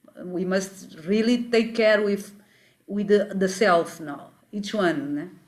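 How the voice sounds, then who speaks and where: Her pitch medium and its variation ordinary, a woman speaks very slowly in a Portuguese accent. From Mozambique. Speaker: spiritual teacher. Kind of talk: interview. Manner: halting.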